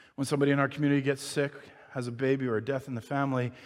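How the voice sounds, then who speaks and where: This man talks at a very fast pace. His pitch sits fairly high. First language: not English. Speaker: pastor. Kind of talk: sermon. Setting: church. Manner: halting.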